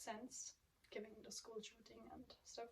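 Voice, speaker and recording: The speaker has a non-native accent. Delivery is at a moderate pace with monotone, flat intonation. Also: woman. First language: not English. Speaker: booktuber. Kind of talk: casual vlog chat. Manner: hesitant, many filler ums.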